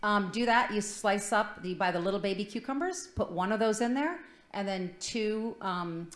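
A woman talks at a fairly quick pace with an American accent. Her pitch varies in an ordinary way, and the room echo is audible. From Michigan. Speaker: food segment contributor; talk show guest. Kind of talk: casual chat. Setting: studio. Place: studio.

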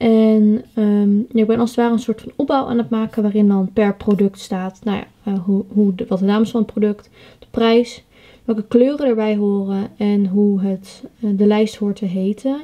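Against a quiet background, a woman with a fairly high pitch and a dark, mellow tone talks at a fairly slow pace with fairly even intonation. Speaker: pony owner vlogger. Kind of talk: vlog narration. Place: home room. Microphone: phone near.

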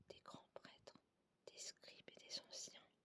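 The speaker is whispering. The tone is soothing. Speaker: ASMR channel host. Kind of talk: ASMR whispered scripture reading. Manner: whispered, soothing.

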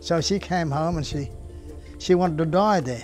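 Clear music plays in the background. A man with an Australian accent speaks with fairly even intonation. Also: dry sound with no echo. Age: 80s+. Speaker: retired Pentecostal pastor. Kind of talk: personal testimony interview. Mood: reflective, earnest storytelling. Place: garden. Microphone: lapel.

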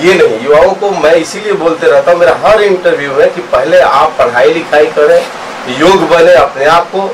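Noticeable background noise sits behind the voice. A man speaks at a fairly slow pace. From Bihar, Gopalganj; Bihar. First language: Bhojpuri (speaking Hindi). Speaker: film director; film actor or director. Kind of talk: interview. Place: hall. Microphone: handheld.

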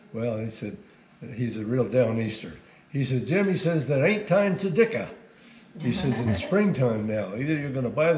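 A man talks with audible room echo and light background noise. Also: moderate pace. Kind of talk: interview answer, storytelling. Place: office. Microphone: camera far.

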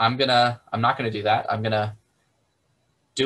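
In a bright, sharp tone, a man talks at a very fast pace with monotone, flat intonation. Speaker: math instructor. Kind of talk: lecture. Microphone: video call.

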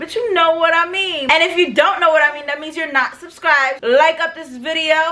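In a raised, projected voice, a woman with an American accent speaks at a moderate pace. Her pitch is extremely high, with ordinary variation. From New York City. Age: 20s. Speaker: vlogger. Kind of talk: storytime talk to camera. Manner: casual, profane. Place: home room.

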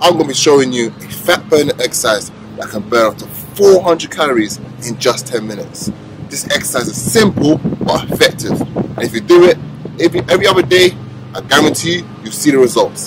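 Over background music, a man speaks at a fairly quick pace with big swings in loudness, the sound dry with no echo. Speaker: fitness trainer. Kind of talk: workout tutorial. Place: street.

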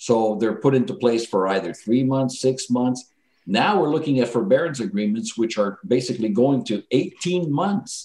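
A man speaks at a medium pitch with a dark, mellow tone and lively intonation. His pace is moderate, with hardly any pauses. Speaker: insolvency trustee. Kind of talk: radio interview.

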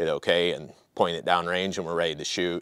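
The speech moves at a moderate pace. The sound is dry, with no echo. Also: man. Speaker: product demonstrator. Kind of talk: tutorial. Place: open country. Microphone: lapel.

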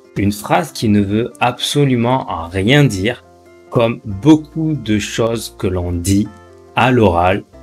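Faint music plays in the background as a man speaks at a very slow pace with lively intonation. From France. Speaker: French teacher. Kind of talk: language lesson to camera. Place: home room. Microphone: studio mic.

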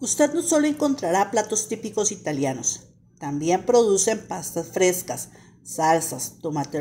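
There is a slightly husky edge to this woman's dark, mellow tone as she talks at a fairly slow pace.

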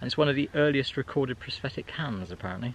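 A man talks at a fast pace with lively intonation. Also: medium pitch for a man.

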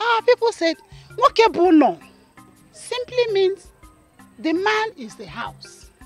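Using a put-on character voice, a woman speaks slowly at an extremely high pitch with big pitch swings, faint music playing in the background.

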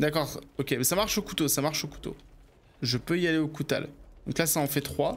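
With vocal fry and long, frequent pauses, a man with a fairly high pitch speaks with ordinary pitch variation. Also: fairly quick pace. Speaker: streamer. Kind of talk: casual live gaming chat. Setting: home studio stream. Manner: casual, rambling, self-deprecating.

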